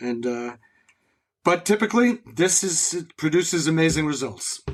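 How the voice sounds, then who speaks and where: Speaking at a moderate pace with a plain, everyday voice, a man with an American accent uses lively intonation at a fairly high pitch. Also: very clean recording, silent background. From New England, New Haven Connecticut area. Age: 60s. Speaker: concert taper, music fan. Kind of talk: casual interview.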